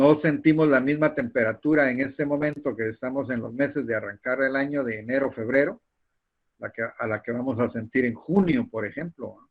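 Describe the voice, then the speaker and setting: A man talks at a moderate pace with a medium pitch and ordinary pitch variation. His loudness swings widely. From Guatemala. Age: 60s. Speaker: university lecturer. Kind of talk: lecture. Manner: halting, with frequent repetitions and fillers.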